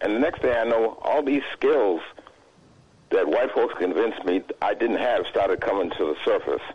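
A man with an American accent talks at a moderate pace. His loudness stays very even. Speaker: caller. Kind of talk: call-in comment. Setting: phone call.

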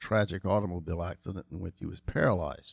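Recorded dry and close with no echo on a very clean, silent background, a man speaks with fairly even intonation. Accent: North Carolina. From US South, Charlotte, North Carolina. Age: 60s. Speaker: insurance agency owner. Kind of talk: interview.

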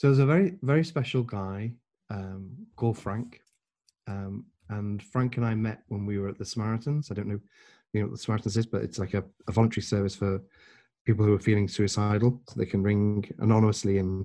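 A dark, mellow voice with an English accent speaks at a fairly quick pace, with ordinary pitch variation. Long pauses come often, against a quiet background. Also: man, fairly low pitch for a man. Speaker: podcast guest.

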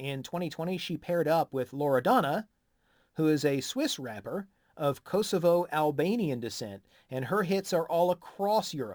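A man with an American accent, fairly high pitch and lively intonation, at a moderate pace, in a very clean recording with a silent background. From USA. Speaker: music podcast co-host. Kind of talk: casual chat.

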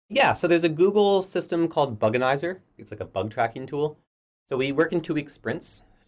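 A man with a normal speaking voice talks at a fairly quick pace, fairly high in pitch and with lively intonation. The recording is very clean, with a silent background. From Canada, Halifax. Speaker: software engineer. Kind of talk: interview. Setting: office.

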